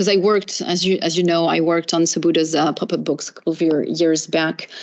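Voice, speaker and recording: A woman talks very fast in a French accent. Her fairly low voice is monotone and flat. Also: very even loudness. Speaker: professor. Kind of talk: academic Q&A after lecture. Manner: halting, many fillers.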